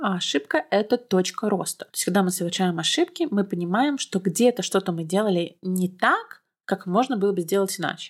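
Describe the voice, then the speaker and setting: At a fairly quick pace, a woman with a normal speaking voice talks in a medium pitch with ordinary pitch variation. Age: 20s. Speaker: podcast host. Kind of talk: solo podcast monologue. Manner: casual.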